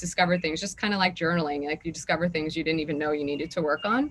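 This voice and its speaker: Through noticeable background noise, a woman speaks at a very fast pace with ordinary pitch variation. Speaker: actress. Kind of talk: interview.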